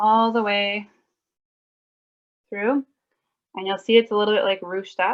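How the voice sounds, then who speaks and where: A woman's medium-pitched, monotone, flat delivery, with big swings in loudness and long, frequent pauses. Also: moderate pace. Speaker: mending workshop presenter. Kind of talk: tutorial. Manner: casual, filler-heavy.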